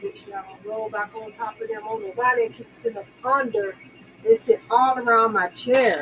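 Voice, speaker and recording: A woman has an ordinary speaking voice, pitched fairly high, at a moderate pace. Her intonation stays fairly even while her loudness swings widely. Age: 60s. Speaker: makeup livestream host. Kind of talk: casual live makeup tutorial. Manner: chatty, repetitive.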